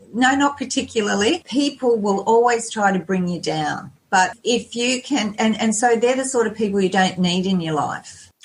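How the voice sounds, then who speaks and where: Using hardly any pauses, a woman with an Australian accent and a fairly high pitch talks at a moderate pace. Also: ordinary pitch variation. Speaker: lifestyle blogger and health coach. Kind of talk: podcast interview.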